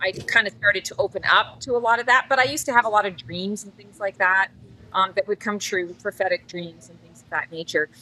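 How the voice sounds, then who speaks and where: The sound is dry and close with no echo, carrying a woman's bright, sharp tone at medium pitch. She moves at a fairly quick pace with ordinary pitch variation. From Canada. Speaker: psychic. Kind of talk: casual interview chat. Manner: talkative, long-winded.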